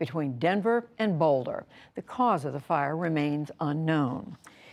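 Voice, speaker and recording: In an ordinary speaking voice, a woman talks at a moderate pace with lively intonation over a very clean recording with a silent background. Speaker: television news presenter. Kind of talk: broadcast news wrap read.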